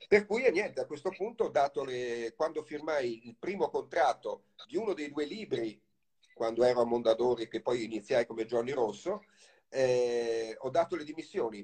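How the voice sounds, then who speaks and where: He has a normal speaking voice, pitched fairly high for a man. His intonation is lively and his pace moderate. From Italy, Livorno (Tuscany). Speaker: novelist. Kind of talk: interview.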